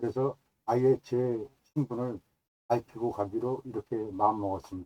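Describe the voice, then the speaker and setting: In a dry, close recording with no echo, a man with a dark, mellow tone talks at a medium pitch, a moderate pace and fairly even intonation. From South Korea, Gyeonggi (Yeoncheon). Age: 70s. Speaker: YouTuber, cultural researcher. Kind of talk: self-introduction monologue. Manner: formal.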